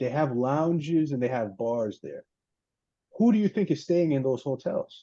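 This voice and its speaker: Using an American accent and a normal speaking voice, a man talks at a moderate pace with a fairly high pitch and lively intonation. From US, Boston, Massachusetts. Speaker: business executive and former competitive bench presser. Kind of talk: live Q&A on video call. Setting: video call.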